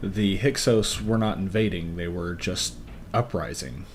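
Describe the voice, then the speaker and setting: Soft-spoken and fairly low in pitch, a man talks at a moderate pace with ordinary pitch variation, with audible room echo and noticeable background noise. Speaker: podcast co-host. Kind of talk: casual chat. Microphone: levels drop, quiet on mic.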